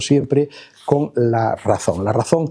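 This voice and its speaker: A man with a fairly high pitch speaks at a very slow pace. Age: 70s. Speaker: professor. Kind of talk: lecture. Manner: hesitant, many filler sounds.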